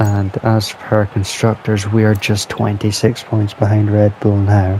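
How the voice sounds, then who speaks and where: Quiet, very even speech comes at a fairly slow pace with monotone, flat intonation. Music plays in the background. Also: man, fairly low pitch for a man. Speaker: gaming youtuber. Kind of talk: gameplay commentary. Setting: at home at night.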